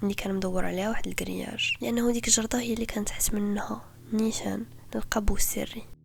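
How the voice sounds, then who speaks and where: Here a woman speaks in a Moroccan accent. Her pace is fairly quick. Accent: Moroccan Darija. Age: 20s. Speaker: podcast host. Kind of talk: true crime podcast narration.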